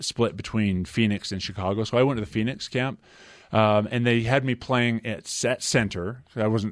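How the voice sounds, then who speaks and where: Against a quiet background, a man with an American accent and an ordinary speaking voice talks at a moderate pace, with a fairly low pitch and fairly even intonation. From Utah. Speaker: former basketball player. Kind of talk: interview. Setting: studio.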